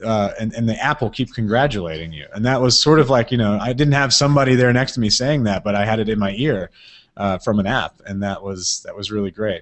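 A man with an American accent speaks at a very fast pace and a medium pitch. His pitch variation is ordinary, and the background is quiet. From US South, Mississippi. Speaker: podcast producer; interview guest. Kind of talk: casual interview. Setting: live video chat. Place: home room. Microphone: video call.

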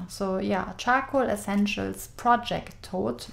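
With a German accent, a woman speaks at a very slow pace against light background noise. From Germany. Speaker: craft store owner. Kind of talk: product review. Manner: enthusiastic. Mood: enthusiastic, friendly.

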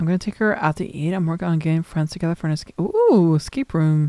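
A woman's fairly low-pitched voice with a dark, mellow tone, ordinary pitch variation and a very fast pace, dry with no echo against a quiet background. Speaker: gaming streamer. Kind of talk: horror game let's play commentary. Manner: casual, reactive, profane. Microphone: studio mic.

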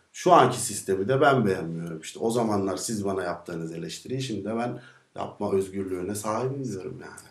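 At a fairly quick pace with hardly any pauses, a man speaks at a fairly low pitch with ordinary pitch variation. His loudness swings widely, and room echo is audible. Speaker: singer. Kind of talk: interview answer. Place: studio.

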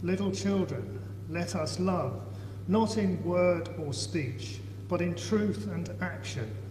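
The voice moves at a very slow pace with ordinary pitch variation. There is audible room echo and light background noise. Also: man, fairly low pitch for a man. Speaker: lay scripture reader in church. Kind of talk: reading scripture aloud. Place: church. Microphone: camera far.

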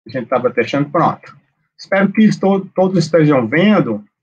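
A man speaks with a Pernambuco accent against a quiet background. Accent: Pernambuco Brazilian Portuguese. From Recife, Pernambuco, Brazil. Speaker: accounting professor and public auditor, lecturer. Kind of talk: online lecture. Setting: video call live stream. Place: home room. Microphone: webcam.

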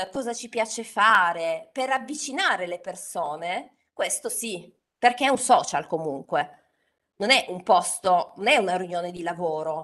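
A woman with a Turin accent speaks very slowly at a medium pitch, her bright, sharp tone swinging very widely in pitch over a quiet background. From Turin, northern Italy; northern Italy. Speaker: LinkedIn trainer and author. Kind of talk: webinar talk. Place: home room. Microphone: studio mic.

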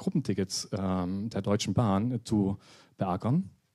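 A man's voice comes through with a dark, mellow tone. His intonation stays fairly even. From Saxony (Dresden). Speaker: app agency founder presenting a startup. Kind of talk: conference talk. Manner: hesitant, many filler sounds.

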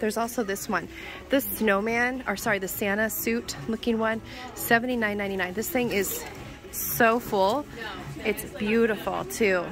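Clear music plays behind a woman who speaks fairly slowly with fairly even intonation, the sound dry with no echo. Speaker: shopping vlogger. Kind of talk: casual vlog chat. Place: shop. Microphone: phone near.

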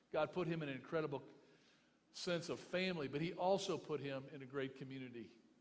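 Fairly high-pitched man with an American accent, talking very fast with ordinary pitch variation. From US South, Memphis, Tennessee; Tennessee. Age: 50s. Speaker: pastor. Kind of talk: eulogy. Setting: memorial service with audience. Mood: earnest, consoling. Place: hall. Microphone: podium.

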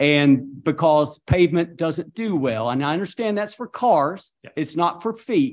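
The man's intonation is lively, though he talks fairly slowly. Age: 60s. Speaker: mayor chairing city council meeting. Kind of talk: council meeting. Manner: animated. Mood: frustrated, blunt. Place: hall. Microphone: podium.

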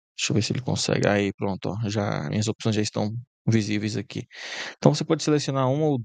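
A man's voice with ordinary pitch variation, a dry sound with no echo, and a quiet background. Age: 20s. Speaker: YouTube tutorial creator; presenter. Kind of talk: software tutorial. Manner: casual, filler-heavy. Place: home room.

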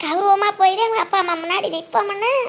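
The speaker uses a cartoonish character voice. The pace is fairly slow. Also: woman. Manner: affectionate, folksy.

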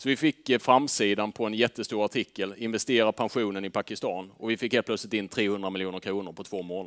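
This man talks at a fairly quick pace with hardly any pauses, his pitch fairly low and his intonation fairly even. The background is quiet. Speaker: fund manager; presenter. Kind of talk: presentation to audience. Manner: hesitant fillers. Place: meeting room. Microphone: headset.

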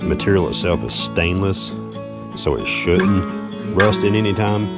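A man speaks with loud music in the background. The sound is dry with no echo. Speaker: magnet fishing vlogger. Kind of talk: casual vlog chat. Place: street. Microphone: phone near.

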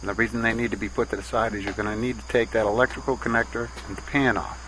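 A man speaks in a dry sound with no echo. Noticeable background noise runs behind him. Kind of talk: tutorial.

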